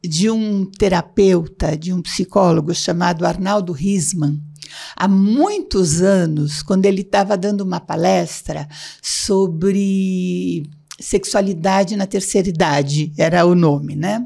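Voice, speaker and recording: A woman's dark, mellow tone at a very slow pace with ordinary pitch variation. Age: 70s. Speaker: psychologist and blogger. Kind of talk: casual interview.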